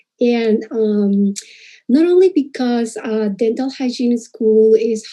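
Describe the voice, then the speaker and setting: A woman with a Spanish accent speaks very slowly in a fairly high voice with a dark, mellow tone over a quiet background. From Peru. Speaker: dental hygienist. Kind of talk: presentation. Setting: live stream. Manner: hesitant, many fillers.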